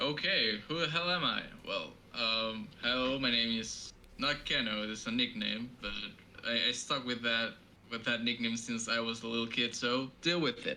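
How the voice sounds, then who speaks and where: His voice is a plain, everyday voice with a medium pitch. Ordinary pitch variation marks his moderate pace. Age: 20s. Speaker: podcast co-host, musician. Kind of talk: casual chat. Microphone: cheap low-quality microphone.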